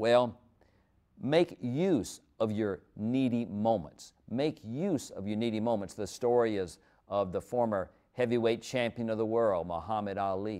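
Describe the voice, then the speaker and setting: Against a quiet background, a man speaks fairly slowly in a warm, dark, mellow tone with ordinary pitch variation. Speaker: preacher. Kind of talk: sermon. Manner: conversational, story-driven, warm. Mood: warm, earnest. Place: studio. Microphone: lapel.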